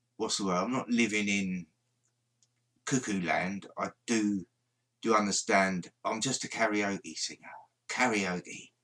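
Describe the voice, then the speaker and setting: A mumbling man with a London accent, a fairly low pitch and a bright, sharp tone, at a fairly slow pace with long, frequent pauses. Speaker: paranormal livestreamer. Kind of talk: casual livestream chat. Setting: live stream.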